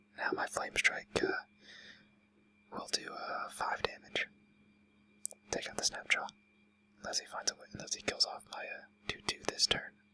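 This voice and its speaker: Whispered words from a man, moderately paced, amid noticeable background noise. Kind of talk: gameplay commentary.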